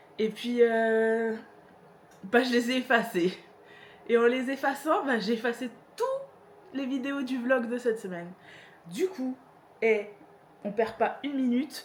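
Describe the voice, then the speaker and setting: A fairly high female voice, fairly slow, with ordinary pitch variation and long, frequent pauses. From northern France, Pas-de-Calais. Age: 30s. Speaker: vlogger. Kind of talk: casual Q&A vlog. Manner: hesitant, many fillers.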